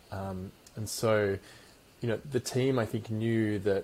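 Fairly low-pitched, somewhat breathy male voice in an Australian accent, with fairly even intonation. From Perth, Western Australia. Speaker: company founder and CEO. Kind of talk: interview.

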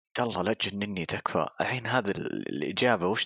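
A man with a fairly low pitch uses a normal speaking voice, ordinary pitch variation and a moderate pace, the sound dry and close with no echo. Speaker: marketing professional and hobby musician. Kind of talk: casual chat.

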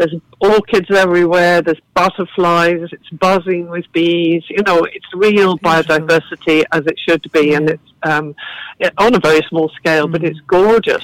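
A woman with an English accent speaks at a moderate pace in a fairly low pitch, her intonation fairly even and the sound dry and close with no echo. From southern England. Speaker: garden and cafe founder. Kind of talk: casual interview chat.

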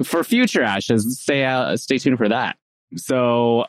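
A man with an unremarkable speaking voice talks at a moderate pace and medium pitch, with lively intonation. The sound is dry and close, with no echo. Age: 30s. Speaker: podcast host and speech-language pathologist. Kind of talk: casual interview.

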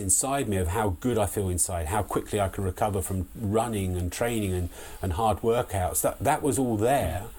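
A man with a southern English accent. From southeast England (Sussex village). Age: 50s. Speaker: long distance runner. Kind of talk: casual interview chat. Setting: remote call.

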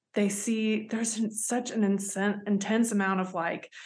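A woman speaks in a Southern US accent at a moderate pace. Her voice is somewhat breathy. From US South. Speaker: human rights advocate. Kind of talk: interview.

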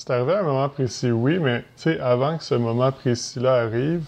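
With a Quebec accent, a man speaks at a medium pitch and varies it in an ordinary way. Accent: Québécois French. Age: 30s. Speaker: entrepreneur and real estate investor. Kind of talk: podcast interview.

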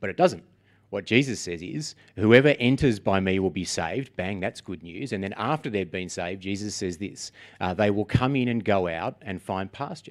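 Over a very clean recording with a silent background, a man speaks at a moderate pace with ordinary pitch variation. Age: 40s. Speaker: guest preacher. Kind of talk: sermon. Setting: church. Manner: casual, hesitant with many fillers.

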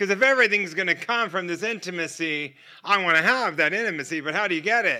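A man with an American accent speaks in a raised, projected voice at a high pitch, his tone bright and sharp. His intonation is lively and his pace fairly quick. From United States. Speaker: guest preacher. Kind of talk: sermon. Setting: church. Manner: animated.

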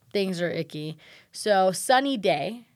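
A woman's voice leaps through very wide pitch swings. The recording is very clean, with a silent background. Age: 20s. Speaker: podcast co-host. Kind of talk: casual chat.

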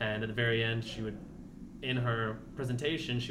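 Against noticeable background noise and audible room echo, a man with an American accent talks at a fairly quick pace in a medium pitch with monotone, flat intonation. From Virginia, US. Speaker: new adapted physical education teacher. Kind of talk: casual interview.

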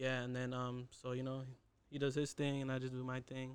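A man at a very fast pace, medium pitch, flat monotone intonation, with an American accent. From Southern California, Inland Empire (Fontana). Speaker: young clothing brand entrepreneur. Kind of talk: casual chat. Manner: halting, many fillers.

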